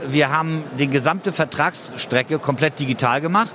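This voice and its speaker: Fairly quickly, a man speaks at a fairly high pitch with ordinary pitch variation. Noticeable background noise sits behind him. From Hamburg, northern Germany. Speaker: insurance startup founder. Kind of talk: conference interview. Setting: trade fair floor.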